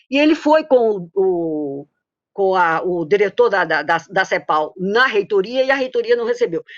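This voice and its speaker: A woman speaks in a Paraíba accent. The background is quiet. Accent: Paraíba (northeastern Brazilian). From Paraíba, northeastern Brazil. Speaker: economist, former professor. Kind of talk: tribute testimony in a webinar. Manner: halting, many false starts.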